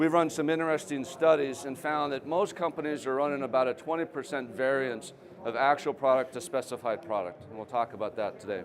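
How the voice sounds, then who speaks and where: Amid noticeable background noise, a man with a fairly high pitch speaks at a fairly quick pace with hardly any pauses and ordinary pitch variation. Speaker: company founder and trade show speaker. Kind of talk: presentation. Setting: trade show stage with audience. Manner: conversational.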